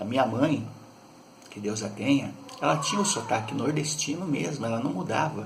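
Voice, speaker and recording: Lively intonation marks this man's medium-pitched voice at a moderate pace. Noticeable background noise and audible room echo are present. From Brazil, São Paulo city. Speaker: YouTuber. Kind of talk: casual monologue.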